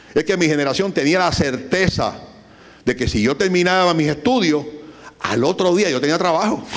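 A man with a Puerto Rican accent, high pitch, ordinary pitch variation, an animated tone, a moderate pace and very even loudness, against a quiet background. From Puerto Rico. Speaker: business owner; guest. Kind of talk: lecture. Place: hall. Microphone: handheld.

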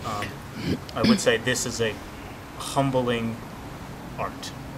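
Over noticeable background noise, a man with an American accent speaks in monotone, flat intonation. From Southern California. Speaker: martial arts student giving seminar feedback. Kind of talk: testimonial. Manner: halting, many fillers. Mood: earnest, appreciative. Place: garden.

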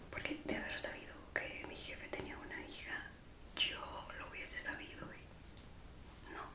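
A woman talks at a very slow pace through loud background noise. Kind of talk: role-play ASMR. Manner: soft ASMR roleplay voice, surprised.

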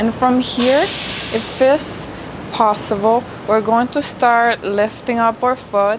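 Very slowly and with fairly even intonation, a woman speaks over noticeable background noise. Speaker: yoga instructor. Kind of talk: tutorial. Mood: calm, soothing guidance.

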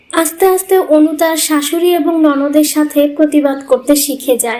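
A woman's high voice with a slightly mellow tone, a fairly quick pace and ordinary pitch variation

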